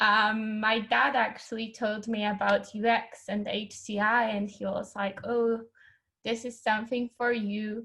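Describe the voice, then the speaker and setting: A woman with a Polish accent speaks very slowly in a fairly high, bright and sharp voice, her intonation flat and monotone. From Poland, Poznań. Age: 20s. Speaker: UX researcher and designer. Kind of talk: casual interview chat.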